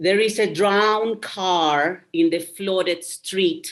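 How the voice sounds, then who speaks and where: A woman with a mid-range pitch talks very slowly. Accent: Spanish. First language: Spanish. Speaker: poet. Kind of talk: poetry reading. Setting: video call.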